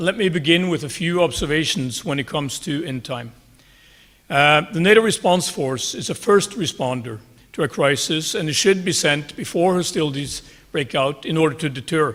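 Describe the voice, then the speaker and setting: A man with a Norwegian accent speaks at a moderate pace, his fairly high pitch showing ordinary variation. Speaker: army general. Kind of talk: conference talk. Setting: conference stage. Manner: formal.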